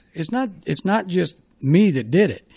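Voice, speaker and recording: Dark and mellow in tone, a man speaks with lively intonation in a US Midwestern accent. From Ohio, Dayton area. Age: 60s. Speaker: former sports radio host and baseball coach. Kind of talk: podcast interview. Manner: conversational, reflective.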